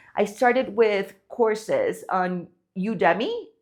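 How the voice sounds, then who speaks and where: The background is quiet. A woman talks in a non-native accent. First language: not English. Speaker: online business creator. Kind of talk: casual talk to camera. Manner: conversational with many fillers.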